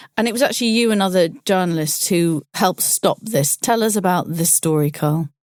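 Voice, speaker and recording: In a British accent, a woman speaks at a medium pitch with ordinary pitch variation, a fairly quick pace, hardly any pauses and very even loudness, in a dry, close sound with no echo. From UK. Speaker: podcast host, journalist. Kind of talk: interview.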